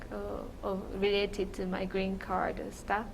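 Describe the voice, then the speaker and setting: With a Japanese accent, a woman speaks very slowly at a medium pitch, with audible room echo around her. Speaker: immigrant interviewee. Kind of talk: oral history interview. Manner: halting.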